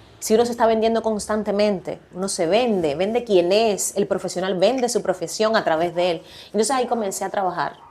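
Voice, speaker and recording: At a fairly quick pace and with hardly any pauses, a woman of medium pitch talks in a dark, mellow tone with ordinary pitch variation. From Cuba. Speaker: podcast guest, communicator. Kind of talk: casual interview chat. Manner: animated, laughs a lot.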